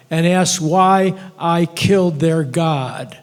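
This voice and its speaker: Noticeable background noise behind a voice with ordinary pitch variation. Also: man. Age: 70s. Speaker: audience member. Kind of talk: audience comment.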